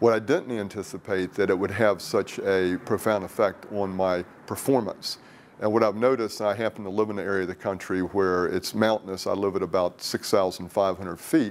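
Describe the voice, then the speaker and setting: Speaking at a moderate pace, a man has an unremarkable speaking voice with a fairly low pitch and fairly even intonation. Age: 60s. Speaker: product user testimonial, wellness industry executive. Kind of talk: testimonial interview.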